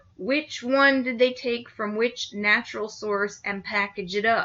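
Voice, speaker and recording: The woman has an ordinary speaking voice with a fairly high pitch. She speaks at a fairly slow pace. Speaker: nutrition lecturer. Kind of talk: recorded lecture.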